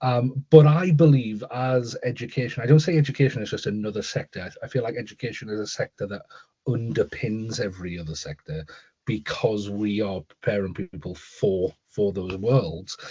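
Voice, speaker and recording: Somewhat breathy and medium-pitched, this man talks at a moderate pace with big swings in loudness. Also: lively intonation. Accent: Newcastle. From northern England, Newcastle. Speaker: school leader and author, keynote speaker. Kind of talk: interview. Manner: repetitive false starts.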